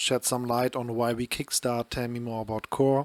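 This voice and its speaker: A man with a German accent talks at a fairly slow pace and medium pitch, recorded with a dry, close sound and no echo. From northern Germany. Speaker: podcast co-host. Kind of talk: casual podcast chat.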